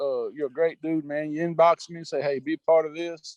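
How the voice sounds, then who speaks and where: Delivered at a very fast pace in a Southern US accent, the speech keeps a monotone, flat intonation. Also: man, dry, close sound with no echo. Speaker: sports betting handicapper. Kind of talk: casual chat.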